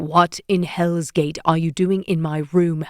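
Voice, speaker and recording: In a put-on character voice, a growl comes out at a middle pitch, fairly slow and monotone with flat intonation. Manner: growling, angry, through gritted teeth.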